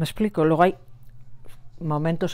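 A woman's voice carries a dark, mellow tone. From Basque Country, Gipuzkoa; Basque Country. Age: 60s. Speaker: nurse and Sahrawi cause activist; interviewee. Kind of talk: interview testimony. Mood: earnest, emotional recollection. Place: home room.

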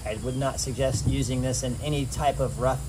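A man talks fairly quickly in a very deep, low voice while noticeable noise sounds in the background. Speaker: photographer reviewing a kayak. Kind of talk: casual vlog chat. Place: waterside. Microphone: camera far.

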